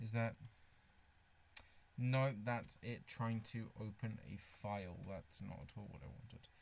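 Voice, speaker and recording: In a British accent, a man speaks at a very slow pace and medium pitch with ordinary pitch variation, big swings in loudness, and long, frequent pauses. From Britain. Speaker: streamer. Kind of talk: casual live stream chat. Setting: live stream, wearing a face mask. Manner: halting, with restarts and fillers.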